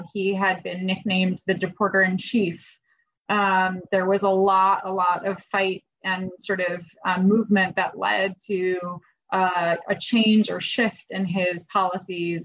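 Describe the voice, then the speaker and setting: A woman's medium-pitched voice, fairly slow, with flat, monotone intonation. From Iranian background. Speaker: immigration official and immigrant rights lawyer. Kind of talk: panel discussion.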